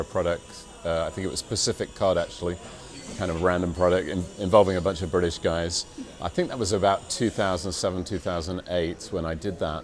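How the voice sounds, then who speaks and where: Music plays in the background as a man speaks with an English accent at a fairly quick pace. His very deep, low voice stays monotone and flat. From England. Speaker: stadium announcer and voiceover artist. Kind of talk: interview monologue. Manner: hesitant, many fillers.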